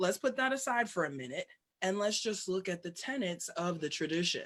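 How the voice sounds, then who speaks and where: Moving at a fairly quick pace, a woman with an American accent speaks at a medium pitch with very wide pitch swings. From New York City. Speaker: scholar-practitioner of Africana religions, priestess. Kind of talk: interview answer.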